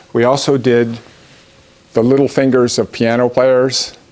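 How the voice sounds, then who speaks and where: A man is heard with noticeable background noise around him. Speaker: professor. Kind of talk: lecture. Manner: fast.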